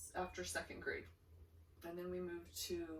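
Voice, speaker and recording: The woman talks with an American accent. Noticeable noise fills the background. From eastern Idaho, USA. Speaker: grandmother. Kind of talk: interview answer.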